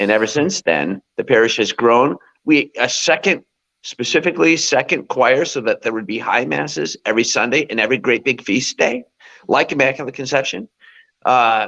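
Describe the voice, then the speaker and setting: A man's medium-pitched voice with lively intonation, vocal fry, an animated, bright, sharp tone and a moderate pace. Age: 60s. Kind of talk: interview.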